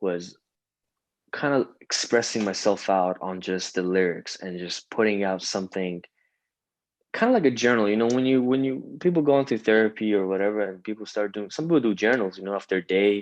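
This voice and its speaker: Against a quiet background, a man with an Iranian accent speaks at a fairly quick pace in a fairly low pitch with ordinary pitch variation. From Iran (Tehran), moved to Canada as a kid. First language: Farsi. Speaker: singer-songwriter and rapper. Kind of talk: interview conversation. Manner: halting, many fillers.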